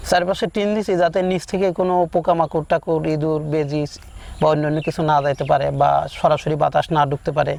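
With fairly even intonation, a man speaks at a fairly high pitch against noticeable background noise. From Bangladesh, Pabna district. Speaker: village doctor, new duck farmer. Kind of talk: interview answers.

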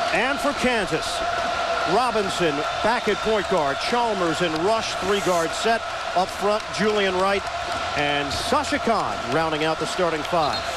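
Loud background noise surrounds a man speaking at a fairly slow pace in a dry sound with no echo. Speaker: TV play-by-play announcer. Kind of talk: sports commentary. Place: stadium. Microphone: headset.

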